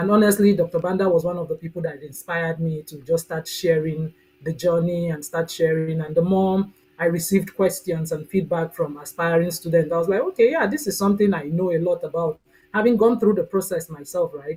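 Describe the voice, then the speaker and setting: With a Nigerian accent, a woman speaks at a fairly low pitch in a dark, mellow, somewhat breathy tone with fairly even intonation. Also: fairly quick pace. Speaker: mentoring coach and agricultural specialist. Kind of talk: live Q&A video chat.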